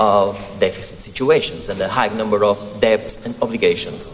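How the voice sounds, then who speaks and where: A man speaks at a moderate speed while noticeable background noise carries on around him. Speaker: legal academic speaking at a senate hearing. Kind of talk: formal presentation. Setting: senate hearing room. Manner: hesitant, many ums and self-corrections.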